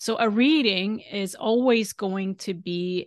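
This woman talks with a Swedish accent at a medium pitch, her intonation fairly even. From Sweden. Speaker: galactic astrologer. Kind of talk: casual interview.

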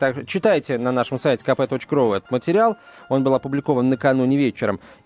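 Heard in a dry, close sound with no echo, a man speaks at a fairly quick pace with lively intonation. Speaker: radio host. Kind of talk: casual chat. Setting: studio. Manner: halting.

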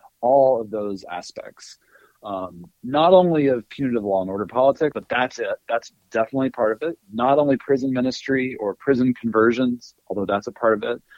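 In an American accent, a man with a plain, everyday voice talks at a fairly quick pace, medium in pitch with ordinary pitch variation. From US South, North Alabama. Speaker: history professor and author. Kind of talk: interview.

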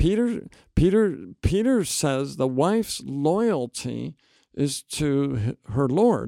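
Very slow and very even in loudness, a man's fairly high voice swings very widely in pitch, with a dark, mellow tone and a dry, close sound with no echo on a very clean recording with a silent background. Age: 60s. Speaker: seminary professor and New Testament scholar. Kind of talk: interview conversation.

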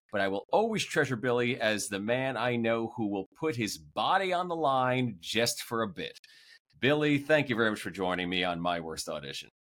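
A man talks at a moderate pace with medium pitch and very wide pitch swings. The recording is very clean, with a silent background. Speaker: podcast host. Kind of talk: casual interview.

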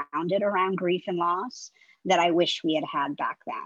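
In an ordinary speaking voice, a woman talks at a moderate pace and medium pitch. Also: dry, close sound with no echo. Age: 50s. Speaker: communications consultant and author. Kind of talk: interview.

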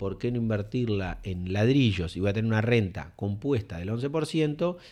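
With a Uruguayan accent, a man talks using lively intonation. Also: quiet background. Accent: Rioplatense Spanish (Uruguayan). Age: 40s. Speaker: real estate developer. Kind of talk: interview. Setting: improvised studio in an office.

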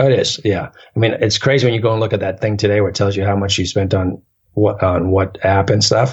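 A man talks very fast in a fairly low, somewhat breathy voice. His intonation stays fairly even and his loudness very even. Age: 40s. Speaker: long-distance hiker. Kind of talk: casual interview.

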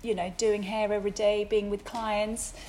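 Speaking with a Swedish accent, a woman has a fairly high pitch. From Sweden. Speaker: hairdresser and salon owner. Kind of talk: interview.

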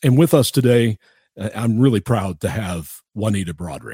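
On a very clean recording with a silent background and a dry, close sound with no echo, a man speaks at a moderate pace in a somewhat breathy, dark, mellow voice with lively intonation. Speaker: radio host. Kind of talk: interview.

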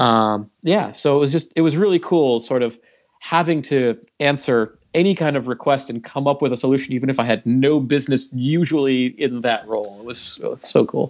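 A man speaks in a plain, everyday voice at medium pitch and a moderate pace. His pitch varies in an ordinary way. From Canada. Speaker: game developer. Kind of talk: casual chat.

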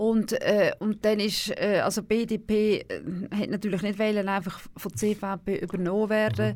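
A woman at medium pitch, fairly slow and monotone with flat intonation, in a very clean recording with a silent background. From Switzerland, canton Aargau. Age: 60s. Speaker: former national politician. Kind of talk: radio interview. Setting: studio.

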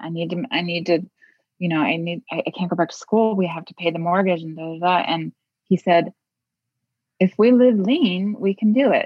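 Over music in the background, a woman with a fairly low pitch speaks with ordinary pitch variation and big swings in loudness. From US Midwest. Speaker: memoir author. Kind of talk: interview. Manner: halting, with frequent repetitions.

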